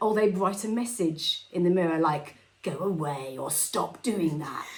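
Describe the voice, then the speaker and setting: With audible room echo and noticeable background noise, a woman of fairly low pitch speaks at a fairly slow pace with lively intonation. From Scotland. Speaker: film podcast co-host. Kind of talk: casual chat. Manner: animated.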